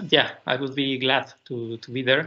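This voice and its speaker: A man with a fairly high voice speaks very slowly in a Spanish accent. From Mexico. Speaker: PhD student and tech speaker; conference presenter. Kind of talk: technical conference talk. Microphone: video call.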